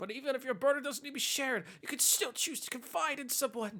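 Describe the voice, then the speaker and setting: In a put-on character voice, the speaker delivers a high-pitched, dramatic performance at a very fast pace. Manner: earnest, dramatic.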